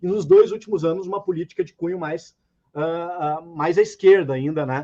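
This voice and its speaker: A man with a high, dark and mellow voice speaks at a moderate pace with fairly even intonation and big swings in loudness. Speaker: economics professor. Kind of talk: debate presentation.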